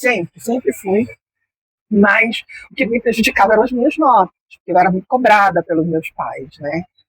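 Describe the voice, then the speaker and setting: A woman speaks at a moderate pace in a fairly high voice with very wide pitch swings, the sound dry and close with no echo. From Brazil, Belém do Pará. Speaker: journalist and mentor. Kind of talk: interview.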